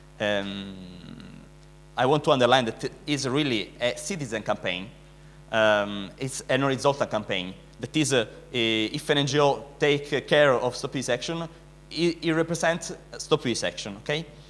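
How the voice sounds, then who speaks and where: A man speaks in an Italian accent at a moderate pace. His intonation is lively. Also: medium pitch for a man. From Italy. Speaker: animal rights activist. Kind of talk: conference speech. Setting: conference stage with audience. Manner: halting, many fillers.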